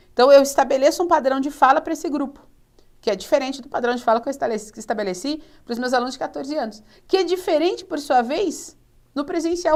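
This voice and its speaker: Her pitch high and her intonation lively, a woman talks at a very fast pace. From São Paulo state, Brazil. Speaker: teacher. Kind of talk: lecture. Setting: studio.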